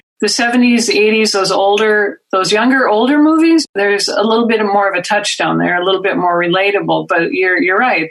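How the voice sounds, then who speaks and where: A woman speaks at a medium pitch with a slight Minnesota accent. Her intonation is lively. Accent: slight Northern Midwestern (Minnesota). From Minnesota, US Midwest. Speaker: comedy writer and film riffer. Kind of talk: podcast conversation.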